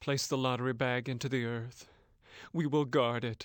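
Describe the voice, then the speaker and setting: This man's pitch is medium. He is putting on a character voice. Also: moderate pace, very clean recording, silent background. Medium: video game. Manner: bitter, grim.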